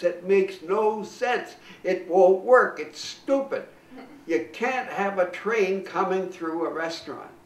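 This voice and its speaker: Speech at a very slow pace with ordinary pitch variation comes through noticeable background noise. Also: man, high pitch for a man. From Canada. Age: 80s+. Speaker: comedian. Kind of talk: interview answer.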